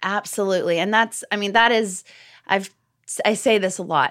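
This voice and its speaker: A bright, sharp tone with ordinary pitch variation, on a very clean recording with a silent background. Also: woman. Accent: American. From Texas. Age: 30s. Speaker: pastor's daughter and mother. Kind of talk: interview.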